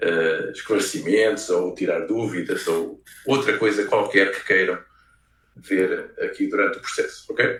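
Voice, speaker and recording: A man speaks with a European Portuguese accent. His pace is fairly slow. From Portugal (Leiria). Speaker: researcher and game designer. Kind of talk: lecture. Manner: hesitant, many fillers.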